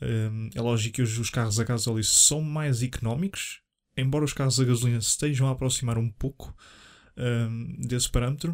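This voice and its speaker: In a very clean recording with a silent background, a man talks at a moderate pace with a European Portuguese accent. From Portugal, Leiria. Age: 20s. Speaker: podcast host. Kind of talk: solo casual monologue. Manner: hesitant, many fillers.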